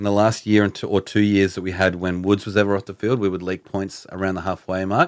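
Speaking very fast in a monotone, flat way, a man uses a fairly low pitch and an Australian accent. The recording is very clean, with a silent background. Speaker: podcast host. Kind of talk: casual banter.

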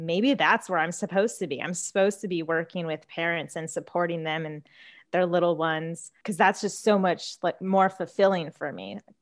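Over a quiet background, a woman speaks at a fairly low pitch with fairly even intonation. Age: 20s. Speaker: speech therapist, private practice owner. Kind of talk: casual interview chat. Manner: calm, chill.

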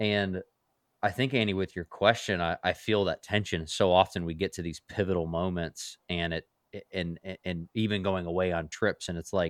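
Monotone, flat male voice, very deep and low, at a moderate pace with a dry, close sound and no echo. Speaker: pastor. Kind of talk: casual chat.

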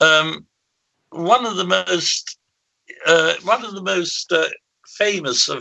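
A man speaks with an English accent. His pace is very slow. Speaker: paranormal researcher. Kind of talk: interview. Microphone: bad connection.

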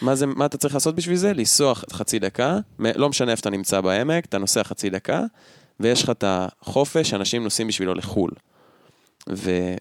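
At a moderate pace, a man uses a normal speaking voice with a medium pitch, lively intonation and very even loudness, on a very clean, dry, close recording with no echo and a silent background. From central Israel. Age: 20s. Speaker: podcast co-host. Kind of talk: casual chat. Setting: at co-host's home.

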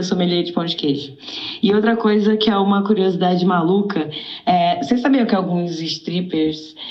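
Speaking at a moderate pace, a woman has a medium pitch and ordinary pitch variation. The recording carries audible room echo and noticeable background noise. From Rio de Janeiro, Brazil. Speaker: caller. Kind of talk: casual chat.

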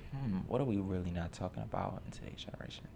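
A man speaks in a New York accent. Room echo can be heard. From New York, Lower East Side. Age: 20s. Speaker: community TV host. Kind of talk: casual chat.

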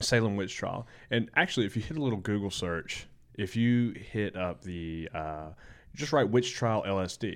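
A man with a Southern US accent speaks at a moderate pace in a fairly low voice, his pitch varying in an ordinary way, on a very clean recording with a silent background. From Alabama. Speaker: skydiver and student. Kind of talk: casual chat.

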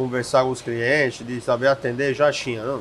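Over noticeable background noise, the voice runs in a flat monotone. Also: man. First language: Italian (speaking Portuguese). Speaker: chef and restaurateur. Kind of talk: casual interview.

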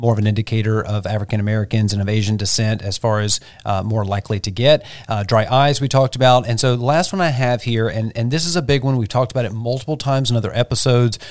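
Here a man with an unremarkable speaking voice talks at a medium pitch with fairly even intonation. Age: 40s. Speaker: podcast co-host. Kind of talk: casual chat. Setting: studio.

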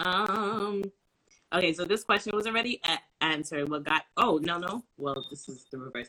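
A moderate pace in a New York accent. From Brooklyn, New York. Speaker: live stream interviewer. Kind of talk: casual live interview. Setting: online live stream.

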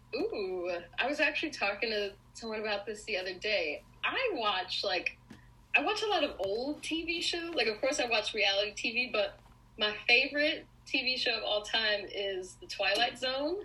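Over noticeable background noise, a high-pitched woman with an American accent talks at a moderate pace, her pitch swinging very widely. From US Northeast, Long Island, New York. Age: 20s. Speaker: pop culture blogger. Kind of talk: casual chat.

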